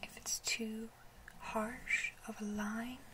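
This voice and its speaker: Whispering in a calm tone, a soft-spoken voice comes through noticeable background noise. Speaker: makeup artist. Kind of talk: ASMR makeup roleplay, soft spoken. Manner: soft-spoken, whispery, calm.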